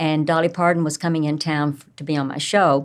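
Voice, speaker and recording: A woman with a Southern US accent at a moderate pace, in a very clean recording with a silent background. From US South, Tennessee. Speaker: entrepreneur and speaker. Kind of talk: interview storytelling.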